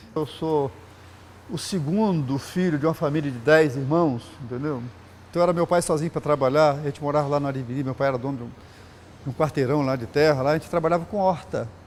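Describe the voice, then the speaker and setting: Fairly high male voice, normal rise and fall in pitch. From Brazil, Espírito Santo (Vila Velha). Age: 60s. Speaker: sculptor. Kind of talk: interview testimony. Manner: casual, halting with fillers.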